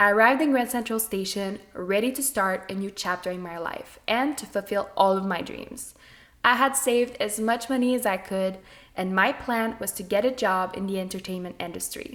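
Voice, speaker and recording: A medium-pitched woman with a slight French Canadian accent, moderate pace, ordinary pitch variation and big swings in loudness. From Quebec, French Canada. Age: 20s. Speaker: podcast host. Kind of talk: scripted narration.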